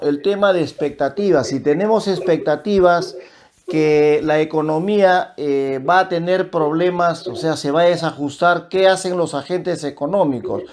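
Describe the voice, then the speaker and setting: A fairly slow-paced man with a high-pitched voice. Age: 60s. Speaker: economist. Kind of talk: radio interview.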